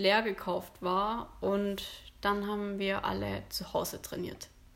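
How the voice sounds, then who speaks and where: The recording is very clean and the background silent. Her voice, a woman's, sits at a medium pitch. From Stuttgart area, Germany. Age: 20s. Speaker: amateur bodybuilding competitor. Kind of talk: casual interview. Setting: in person, same room as host.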